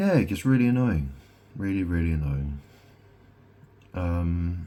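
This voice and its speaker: A man speaks at a very deep, low pitch with lively intonation and a fairly slow pace. Audible room echo surrounds his voice. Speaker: vlogger. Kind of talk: casual monologue. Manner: halting.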